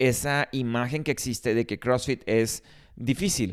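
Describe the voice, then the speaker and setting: Over a very clean recording with a silent background comes a plain, everyday voice with ordinary pitch variation. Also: man. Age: 30s. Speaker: gym owner and podcast host. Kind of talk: solo podcast monologue.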